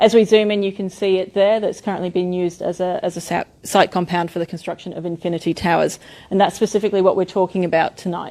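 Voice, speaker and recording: With an Australian accent, a woman talks at a very fast pace with hardly any pauses. Her dark, mellow tone sits at a medium pitch in a very clean recording with a silent background. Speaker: architect presenting a development. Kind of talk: public meeting presentation. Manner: animated.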